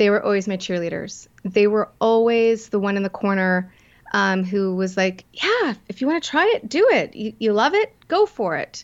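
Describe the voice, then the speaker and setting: At a moderate pace, a woman talks in an unremarkable speaking voice, with medium pitch and ordinary pitch variation. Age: 50s. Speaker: entrepreneur and confidence coach. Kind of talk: interview.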